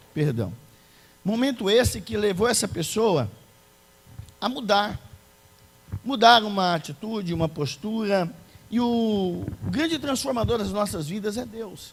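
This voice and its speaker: High-pitched and lively in intonation, a man speaks at a fairly slow pace with long, frequent pauses. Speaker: preacher. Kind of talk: sermon. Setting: church.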